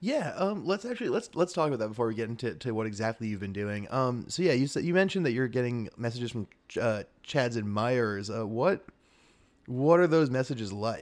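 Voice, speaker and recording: This man speaks in an unremarkable speaking voice at a medium pitch, with lively intonation. His pace is fairly quick, and the recording is very clean with a silent background. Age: 20s. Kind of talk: improvised comedy chat.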